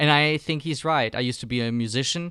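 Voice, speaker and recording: A man with a German accent speaks with ordinary pitch variation. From Germany. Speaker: filmmaking course instructor. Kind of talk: online course lecture. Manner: hesitant, many fillers.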